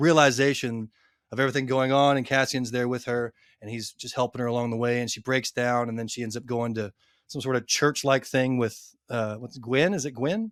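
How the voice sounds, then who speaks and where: In a Texan accent, a man speaks at a medium pitch and a fairly quick pace with fairly even intonation. The sound is dry and close with no echo, in a very clean recording with a silent background. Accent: Texan American English. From Texas. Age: 30s. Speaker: book influencer. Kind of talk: casual chat.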